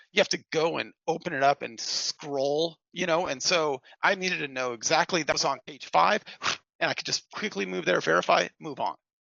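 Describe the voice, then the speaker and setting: Vocal fry runs through a man's fairly high-pitched voice, which carries lively intonation. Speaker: financial planning exam candidate sharing study tips. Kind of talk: casual chat. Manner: fast when excited.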